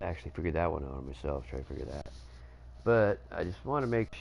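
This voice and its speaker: A man speaks at a fairly quick pace. His voice has a very deep, low pitch. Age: 40s. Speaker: gaming streamer. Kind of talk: casual live stream chat. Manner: hesitant, many filler words.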